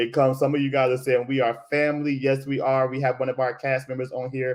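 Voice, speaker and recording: This man speaks in an American accent at a medium pitch. His tone is animated and his pace fairly quick. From Florida. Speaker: theatre director and show host. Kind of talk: live-stream conversation. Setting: live video stream.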